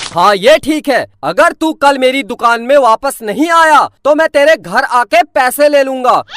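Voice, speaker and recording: A gruff, high-pitched put-on character voice at a moderate pace. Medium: cartoon. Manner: gruff, scolding.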